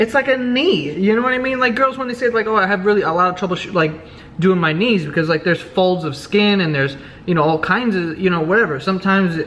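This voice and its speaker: Talking at a very fast pace with an animated tone and lively intonation, a man with an American accent uses a high pitch over noticeable background noise. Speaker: vlogger. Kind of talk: casual vlog monologue.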